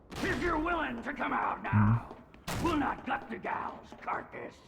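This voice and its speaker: A put-on character voice, high-pitched and raspy, at a moderate pace over clear background noise. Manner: menacing, gruff.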